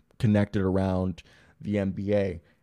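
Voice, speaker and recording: A man speaks at a fairly low pitch with a dark, mellow tone. His intonation is monotone and flat, and the background is quiet. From US East Coast (Florida, Maryland). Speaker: sports podcast host. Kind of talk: casual live-stream chat. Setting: home live stream.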